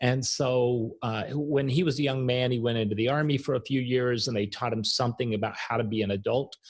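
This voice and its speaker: With an American accent, a man speaks fairly quickly at a medium pitch, his voice somewhat breathy, his loudness very even and his intonation fairly even. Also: hardly any pauses. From US South, Arkansas. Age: 60s. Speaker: author and coach. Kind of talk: podcast interview.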